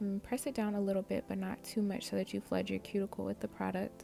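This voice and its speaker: Background music plays throughout. A woman speaks over it. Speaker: amateur nail tutorial creator. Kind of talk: casual tutorial voice-over.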